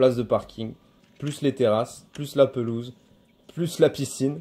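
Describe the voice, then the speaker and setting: At a moderate pace, a man speaks with a dark, mellow tone and fairly even intonation. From southern France, Montpellier area. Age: 30s. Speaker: butcher and homesteading video maker. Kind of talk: casual video self-presentation. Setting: outdoors in his garden. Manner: hesitant, many fillers.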